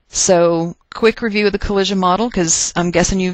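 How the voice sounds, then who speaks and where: A woman speaks with a Texas accent. Her pace is fairly quick. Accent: Texas twang. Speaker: chemistry teacher. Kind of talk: recorded lecture. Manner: casual, conversational.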